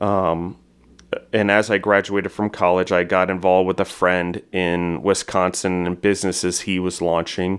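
A man speaks at a moderate pace in a very deep, low voice with monotone, flat intonation. The recording is very clean, with a silent background. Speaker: food entrepreneur and podcaster. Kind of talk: casual interview.

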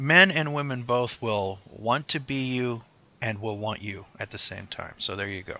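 A man with a Midwestern accent talks at a medium pitch and moderate pace with ordinary pitch variation. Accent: general American, Midwest. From Ohio and Pennsylvania. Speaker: veteran podcaster. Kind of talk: casual chat.

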